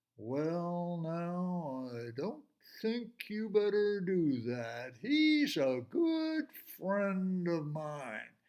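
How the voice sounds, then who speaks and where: At a very slow pace, a man performs a put-on character voice. His pitch sits high. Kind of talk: folksy, drawling. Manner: slow, unhurried, gentle warning.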